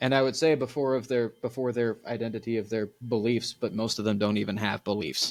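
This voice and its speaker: A man with a medium-pitched voice talks at a fairly quick pace with hardly any pauses. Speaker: podcast host. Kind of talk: casual chat.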